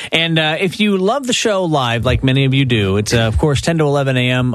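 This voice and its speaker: A man at medium pitch and moderate pace, with very wide pitch swings, over noticeable background noise. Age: 40s. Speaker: radio host. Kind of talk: casual chat.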